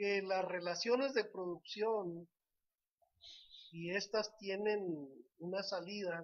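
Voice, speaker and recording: A man with a high voice speaks at a very slow pace, his intonation fairly even and broken by long, frequent pauses. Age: 70s. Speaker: lawyer and political commentator. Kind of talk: political analysis talk show.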